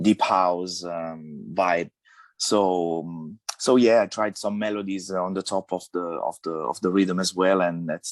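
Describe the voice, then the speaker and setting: A man speaks fairly slowly in an Italian accent, his pitch very deep and low. His intonation is fairly even, and the sound is dry and close with no echo. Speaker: DJ, producer and musician. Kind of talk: radio interview. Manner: halting, many fillers and restarts.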